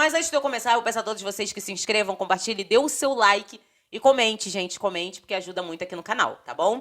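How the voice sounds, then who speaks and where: At a very fast pace, a woman talks in a fairly high voice with lively intonation. Her loudness rises and falls in big swings. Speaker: political commentary vlogger. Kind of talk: casual vlog commentary.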